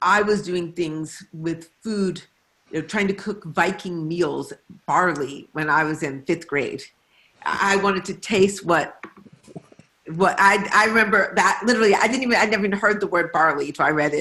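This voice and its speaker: At a moderate pace, a woman with an American accent speaks in a plain, everyday voice of medium pitch with ordinary pitch variation. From Detroit, US Midwest. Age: 60s. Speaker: novelist. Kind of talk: author conversation. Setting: video call.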